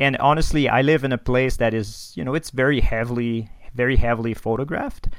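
This man has a French Canadian accent and a medium pitch. His intonation stays fairly even. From Quebec, Canada (Quebec City). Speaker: astrophotographer. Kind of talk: casual interview.

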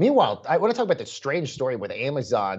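Very wide pitch swings and vocal fry from a man pitched fairly high. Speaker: podcast co-host. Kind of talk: casual news podcast chat. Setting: home bunker upstate New York.

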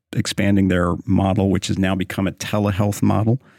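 A man speaks at a moderate pace with an American accent. His fairly low voice has a dark, mellow tone, and the recording is very clean with a silent background. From Oklahoma. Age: 50s. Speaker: pro-life author and speaker. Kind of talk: interview conversation. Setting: studio.

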